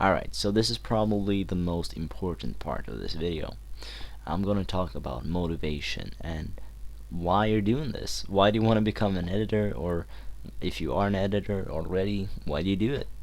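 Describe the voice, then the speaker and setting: Speaking at a moderate pace with vocal fry, a man uses a very deep, low pitch and ordinary pitch variation. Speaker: video editing tutorial maker. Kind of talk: casual tutorial talk to camera. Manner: hesitant, unscripted, many fillers and stutters.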